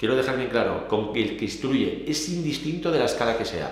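Audible room echo around a man at a fairly quick pace. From Spain. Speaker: police union leader. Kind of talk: interview. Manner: animated. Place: home room.

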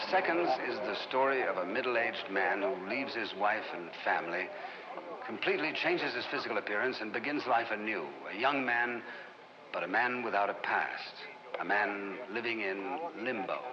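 Noticeable background noise fills the clip. Over it, a man talks with a medium-pitched voice. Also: lively intonation, moderate pace. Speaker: promo narrator. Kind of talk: 1960s film promo narration. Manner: formal, measured, authoritative.

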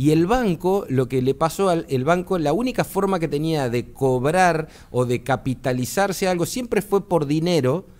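This man has a fairly high pitch and lively intonation. He hardly pauses, and his loudness stays very even. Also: moderate pace. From Argentina. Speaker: electronics engineer, tech commentator; tech commentator. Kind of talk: explanatory interview on radio; interview answer. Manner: hesitant, many filler words. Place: studio. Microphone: studio mic.

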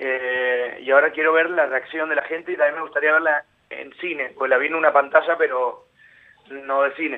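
A man speaks at a moderate pace in a fairly high voice. His intonation is monotone and flat. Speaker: actor and singer. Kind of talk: interview.

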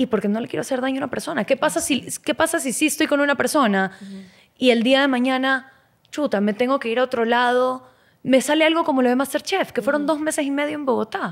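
With a quiet background, a woman speaks very fast in a high voice with ordinary pitch variation. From Ecuador. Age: 20s. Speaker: model and former cooking show contestant; podcast guest. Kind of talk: casual interview chat. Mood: candid, reflective, animated. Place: studio. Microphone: studio mic.

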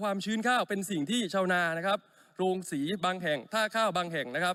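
A man speaks in a raised, projected voice with a high pitch and a bright, sharp tone. The sound is dry and close, with no echo. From Buriram, northeastern Thailand. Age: 40s. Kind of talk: parliamentary speech. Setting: parliament chamber. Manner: formal.

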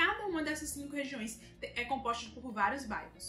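Faint music plays in the background as a woman's raised, projected voice carries audible room echo. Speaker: travel vlogger. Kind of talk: casual vlog chat. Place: home room.

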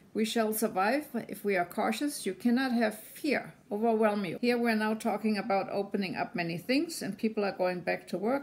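A woman speaks with a German accent at a fairly high pitch. Her pace is moderate, with ordinary pitch variation. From Germany. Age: 70s. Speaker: business consultant and community volunteer. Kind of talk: personal video message. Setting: self-recorded video at home. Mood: calm, hopeful. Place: home room. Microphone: phone near.

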